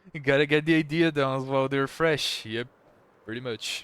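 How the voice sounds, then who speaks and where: Here a man talks at a moderate pace. His accent is Portuguese. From Brazil. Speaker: gaming streamer. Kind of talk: casual chat. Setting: live stream.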